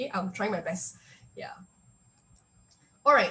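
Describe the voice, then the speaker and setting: This is a woman speaking at a medium pitch. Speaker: workshop speaker. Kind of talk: online workshop presentation. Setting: video call. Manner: fast; hesitant, many fillers.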